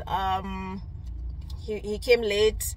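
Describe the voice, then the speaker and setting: A woman speaks over music playing in the background. The sound is dry, with no echo. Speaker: vlogger. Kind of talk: casual vlog chat. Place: car. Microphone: phone near.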